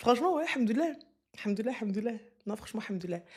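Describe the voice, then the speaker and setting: A woman speaks. Her tone is animated. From Moroccan and Senegalese heritage. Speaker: streamer. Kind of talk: live stream chat, reading viewer comments. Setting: live stream. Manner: loud.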